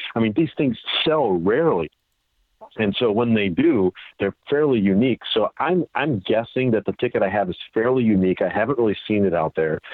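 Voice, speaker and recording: With an unremarkable speaking voice at medium pitch, a man talks fairly quickly, his intonation lively and his loudness very even. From Chicago suburbs, Illinois. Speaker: sports memorabilia collector. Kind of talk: interview.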